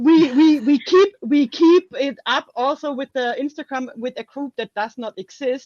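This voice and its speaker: A woman with a German accent speaks at a fairly slow pace with hardly any pauses, high pitch and ordinary pitch variation, in a dry, close sound with no echo. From Germany. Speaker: author. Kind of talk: casual interview chat.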